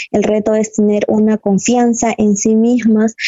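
This woman's voice sits fairly high in pitch. Her intonation is monotone and flat. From Peru, Cajamarca. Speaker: mining engineer. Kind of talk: interview testimony. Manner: hesitant, with fillers.

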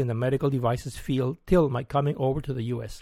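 With a Spanish accent, a man talks at a fairly quick pace in a fairly high pitch, recorded very cleanly against a silent background with a dry, close sound and no echo. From Mexico. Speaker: retired science teacher. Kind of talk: scripted narration. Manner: formal.

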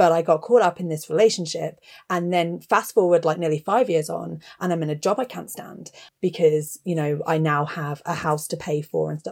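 A woman talks at a fairly quick pace in an English accent. Her pitch varies in an ordinary way. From England (Gloucestershire, raised there from age eleven). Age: 30s. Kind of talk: casual chat.

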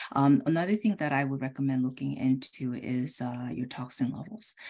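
In a Korean accent, a woman speaks with a very deep, low pitch and a dark, mellow tone. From South Korea. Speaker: optometrist and homeopath. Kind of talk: interview. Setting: video call.

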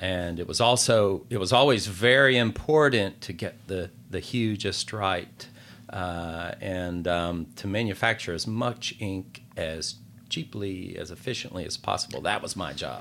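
A man's fairly low voice with a Southern US accent, fairly slow, with ordinary pitch variation. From North Carolina (Gaston County, rural). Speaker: novelist. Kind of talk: interview. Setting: studio.

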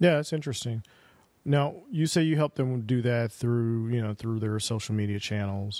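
Using a plain, everyday voice, a man speaks at a medium pitch and moderate pace with ordinary pitch variation. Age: 40s. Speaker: podcast host. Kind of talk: interview; podcast outro.

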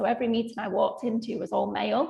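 Speaking very fast with a Mancunian accent, a woman with a fairly high pitch comes through over noticeable background noise. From Manchester, England. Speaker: finance controller. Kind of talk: panel discussion.

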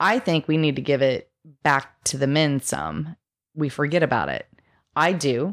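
Her voice is very deep and low for a woman, moving at a moderate pace with ordinary pitch variation and long, frequent pauses, recorded with a dry, close sound and no echo. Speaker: podcast co-host. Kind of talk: casual chat.

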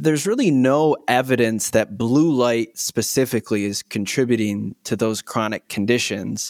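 A man with a Michigan accent, medium pitch, ordinary pitch variation and a moderate pace, in a dry, close sound with no echo. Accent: US Midwest (Michigan). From Michigan, Muskegon. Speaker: optometrist. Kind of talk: interview.

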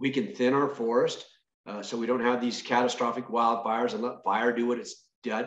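Here is a man with an American accent and a normal speaking voice at medium pitch. He keeps a moderate pace and fairly even intonation. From Northern California. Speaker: state senator and farmer. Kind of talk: interview.

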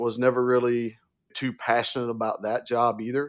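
Speaking at a fairly quick pace in a Southern US accent, a man has a medium pitch, with a quiet background behind him. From upstate South Carolina. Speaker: wealth advisor. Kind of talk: interview.

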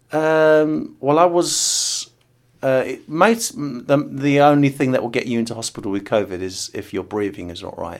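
A man with an English accent at a moderate pace, very wide pitch swings and big swings in loudness, in a very clean recording with a silent background. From England. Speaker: board game designer. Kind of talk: interview testimony. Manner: halting.

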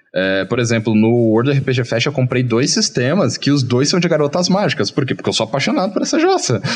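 In an ordinary speaking voice, a man talks at medium pitch and a fairly quick pace, his intonation lively and his pauses hardly any. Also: very even loudness. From Brazil, small interior town. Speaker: game designer. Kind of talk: casual interview chat. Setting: live video stream.

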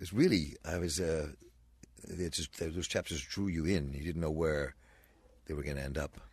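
A man's very deep, low voice at a moderate pace, with fairly even intonation and long, frequent pauses. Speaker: radio host. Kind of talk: radio interview. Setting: radio studio. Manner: casual, halting.

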